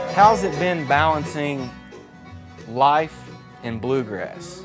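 There is music in the background while a man speaks with lively intonation. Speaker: TV series host. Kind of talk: interview questions.

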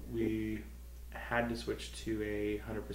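A man with a very deep, low voice speaks in a flat monotone amid audible room echo and light background noise. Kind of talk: interview answer. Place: meeting room. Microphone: handheld.

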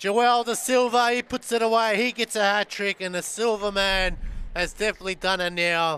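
A man speaks at a moderate pace in a high, raised and projected voice with a bright, sharp tone and an animated, excited delivery, recorded dry and close with no echo. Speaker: play-by-play commentator. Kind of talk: live sports commentary, play-by-play call of futsal match. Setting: studio or courtside broadcast at indoor arena. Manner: animated, punchy, raising pitch on goals with excited exclamations.

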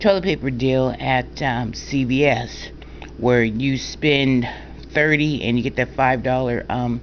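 Amid noticeable background noise, a woman talks at a fairly slow pace with a very deep, low pitch and fairly even intonation. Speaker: couponer. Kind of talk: casual talk to camera.

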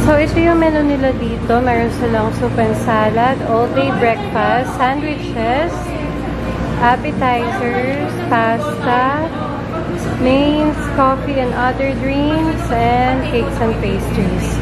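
A woman speaking at a very slow pace, with clear music in the background. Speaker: vlogger filming a cafe visit. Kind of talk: casual vlog chat. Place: cafe. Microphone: phone near.

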